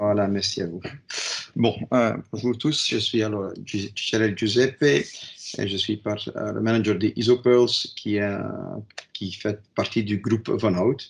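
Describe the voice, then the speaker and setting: Here a man with a non-native accent speaks at a very slow pace. His pitch sits fairly low and his intonation stays fairly even. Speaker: company manager, presenter. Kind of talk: webinar presentation. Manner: halting.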